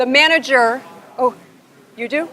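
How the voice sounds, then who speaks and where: A woman speaks with an American accent. Her pitch is high, with ordinary variation. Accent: Buffalo accent, comes out at times. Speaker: business consultant and workshop presenter. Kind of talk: workshop presentation. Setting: conference session with live audience, attendees on headphones. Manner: conversational, interactive.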